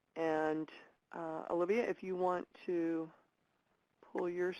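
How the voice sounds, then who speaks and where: A woman talks with a fairly low pitch in a monotone, flat intonation. The background is quiet. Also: dry, close sound with no echo. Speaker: webinar host. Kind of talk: online training webinar.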